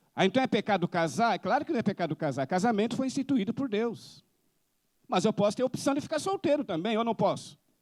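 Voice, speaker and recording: Fairly quick, lively speech in a Brazilian accent, with a very clean recording, a silent background, and a dry, close sound with no echo. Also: man. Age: 60s. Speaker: missionary preacher. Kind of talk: sermon.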